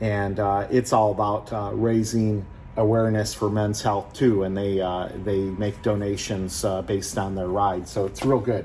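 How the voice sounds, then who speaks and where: A man's fairly low voice at a moderate pace, flat and monotone, with audible room echo. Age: 60s. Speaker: car restoration youtuber, retired engineer. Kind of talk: casual chat; tutorial. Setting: garage. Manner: casual, halting with many fillers.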